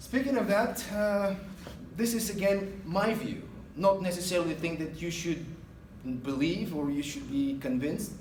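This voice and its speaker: In an Eastern European accent, a man speaks at a moderate pace with a high pitch, lively intonation and long, frequent pauses. Room echo is audible, and background noise is noticeable. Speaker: guest speaker, retail manager. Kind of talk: guest lecture to a class. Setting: classroom. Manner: hesitant, many fillers.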